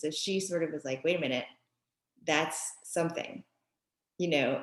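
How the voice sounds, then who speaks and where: A woman speaks in a New York accent at a moderate pace. Her pitch is fairly low. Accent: New York area American. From US Northeast, Westchester, New York (born in Japan, moved at five). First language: Japanese. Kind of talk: podcast interview. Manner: hesitant, many fillers.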